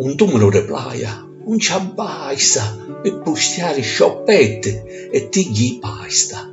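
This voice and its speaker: A man speaking at a very slow pace, with music in the background. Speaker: poet. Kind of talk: poetry reading.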